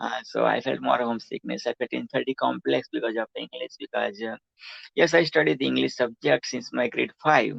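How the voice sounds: At a fairly quick pace, a man with a Gujarati accent speaks at a medium pitch with fairly even intonation, a fairly bright tone, a slightly husky edge and vocal fry, in a dry, close sound with no echo. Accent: Gujarati Indian.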